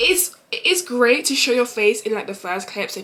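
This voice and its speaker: There is noticeable background noise as a woman speaks in a London accent. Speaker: travel content creator. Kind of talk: vlog Q&A. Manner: fast.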